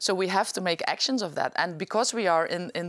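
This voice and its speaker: A woman's fairly low voice with a Limburg accent at a fairly quick pace. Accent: Dutch (Limburg) accent in English. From Netherlands, Limburg (Venlo). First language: Dutch. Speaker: politician. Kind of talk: interview. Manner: halting.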